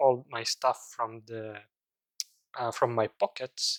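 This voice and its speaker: A man with a Russian accent at a very slow pace, the sound dry and close with no echo. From Komi Republic, Russia. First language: Komi. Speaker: language activist. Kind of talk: interview. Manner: halting.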